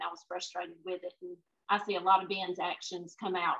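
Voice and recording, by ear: A woman's fairly low, fairly bright voice with a slightly husky edge, vocal fry and little pitch movement. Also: fairly quick pace.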